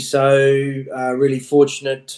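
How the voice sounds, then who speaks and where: In an Australian accent, a man talks at a fairly high pitch. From Australia (Queensland). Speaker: rugby coach. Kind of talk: casual interview.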